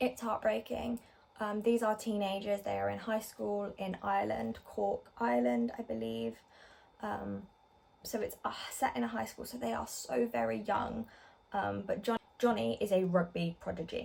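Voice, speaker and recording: A woman's medium-pitched voice with an English accent, very wide pitch swings and a moderate pace. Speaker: book vlogger. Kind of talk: casual book review vlog. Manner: hesitant, many ums and likes; quiet.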